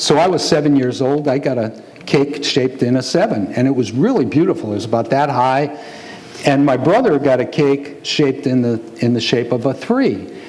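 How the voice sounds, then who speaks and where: The man's pitch is fairly high and his pace moderate. Audible room echo and noticeable background noise surround him. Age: 60s. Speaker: pastor. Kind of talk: sermon.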